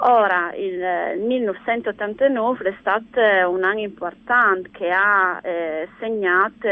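Very slowly, a woman's voice unfolds at a middle pitch. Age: 50s. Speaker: nature conservation network leader. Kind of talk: radio interview. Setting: phone call.

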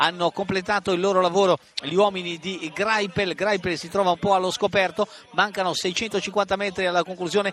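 A man talks in an animated tone at a high pitch. The sound is dry and close with no echo, though noticeable background noise is present. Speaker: radio sports commentator. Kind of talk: live race commentary, radio call of a cycling sprint finish. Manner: animated, urgent, accelerating into the sprint with repeated name shouts; fast, rapid-fire, with distances and positions called out breathlessly.

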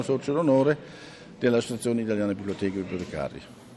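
He is a man speaking with a German accent. His intonation is lively. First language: German (speaking Italian). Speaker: library director. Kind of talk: interview.

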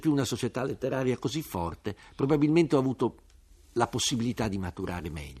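Against a quiet background, a man speaks at a very fast pace and medium pitch, with vocal fry and lively intonation. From Turin, northern Italy. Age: 50s. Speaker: writer and journalist. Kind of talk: radio interview.

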